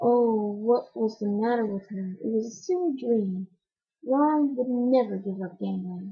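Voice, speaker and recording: Soft-spoken and somewhat breathy, a woman talks at a moderate pace. Her pitch is fairly high, with ordinary pitch variation. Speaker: amateur audiobook reader. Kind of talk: reading aloud. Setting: at home.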